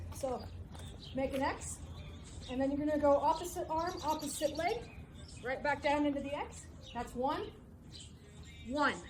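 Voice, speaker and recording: A woman with a high pitch and ordinary pitch variation talks at a moderate pace. Long, frequent pauses and audible room echo come through. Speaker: fitness coach. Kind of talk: workout instruction. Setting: outdoors. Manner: casual.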